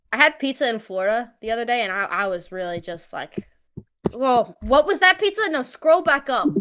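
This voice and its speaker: A woman with a New York accent speaks at a fairly quick pace in a high pitch, her bright, sharp tone moving through very wide pitch swings. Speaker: live stream co-host. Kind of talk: casual chat. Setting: live stream.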